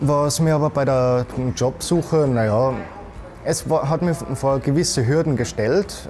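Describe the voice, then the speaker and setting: Light background noise sits behind the voice. A man speaks with ordinary pitch variation. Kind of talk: interview answer. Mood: calm, friendly. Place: office. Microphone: lapel.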